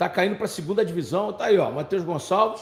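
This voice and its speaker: A high-pitched man with ordinary pitch variation. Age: 60s. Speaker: football pundit. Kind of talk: live commentary. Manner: animated.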